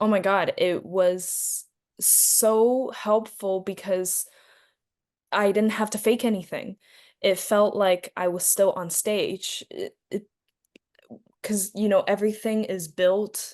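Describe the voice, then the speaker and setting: Against a quiet background, a woman speaks at a very slow pace with medium pitch, a monotone, flat intonation, and long, frequent pauses. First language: Chinese. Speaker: actress. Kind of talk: interview.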